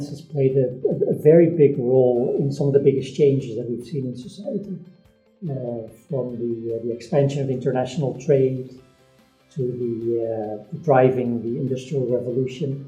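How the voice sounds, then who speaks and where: Over music in the background, a man at medium pitch talks at a moderate pace, with ordinary pitch variation and big swings in loudness. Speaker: professor, interviewer. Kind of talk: interview question.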